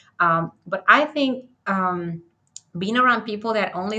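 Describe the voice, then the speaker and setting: A woman's bright, sharp tone with a strong Spanish accent. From Dominican Republic. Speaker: architect and author. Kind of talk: interview conversation. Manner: halting.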